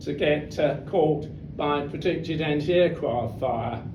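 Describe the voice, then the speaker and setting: Noticeable background noise sits behind a man speaking. His pitch is fairly high, and his pace is fairly slow. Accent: British. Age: 80s+. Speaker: war veteran. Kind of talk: talk to an audience. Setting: club hall.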